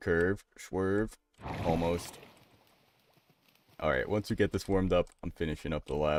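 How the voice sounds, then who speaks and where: This man's voice is very deep and low, with an animated tone. He talks at a fairly slow pace with long, frequent pauses, in a dry, close sound with no echo. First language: bilingual English and Spanish. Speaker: gaming live streamer. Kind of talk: casual live stream commentary.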